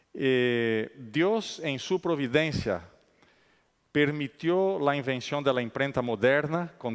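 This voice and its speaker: Someone with a non-native accent speaks at a very slow pace in a very clean recording with a silent background. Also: man. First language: not Spanish (speaking Spanish). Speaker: conference speaker. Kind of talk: lecture. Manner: halting, many fillers.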